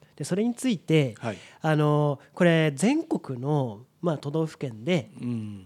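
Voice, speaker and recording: Here a man talks in an ordinary speaking voice, fairly high in pitch, with lively intonation at a fairly slow pace. The recording is very clean, with a silent background. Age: 30s. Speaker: podcast co-host. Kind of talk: casual chat.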